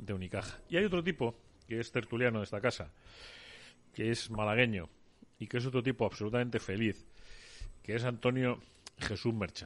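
Against a quiet background, a man talks at a fairly quick pace in a medium pitch with ordinary pitch variation. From Almería, Andalusia, Spain. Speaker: sports radio host. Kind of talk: radio sports show.

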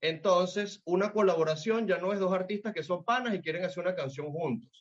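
A man with a Venezuelan accent, high-pitched, at a moderate pace, with ordinary pitch variation. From Venezuela, Valencia (Carabobo). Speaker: musician guest. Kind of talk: casual chat.

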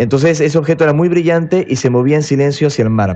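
This man has a plain, everyday voice. He talks at a fairly quick pace with a fairly high pitch. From Peru (Lima). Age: 30s. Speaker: UFO contactee, speaker. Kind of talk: radio interview. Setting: radio studio.

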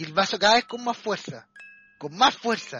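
A man with an extremely high pitch, music in the background. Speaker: podcast host. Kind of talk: casual chat.

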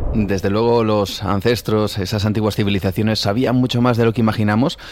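A man speaks in a normal speaking voice, fairly low in pitch with fairly even intonation, on a very clean recording with a silent background. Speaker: radio host. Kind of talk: radio show presenting and interview.

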